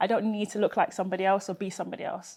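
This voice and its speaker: A woman speaks at a very fast pace in a London accent, her intonation monotone and flat. The background is quiet. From Peckham, South London. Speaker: engineer and social enterprise founder. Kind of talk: interview answer.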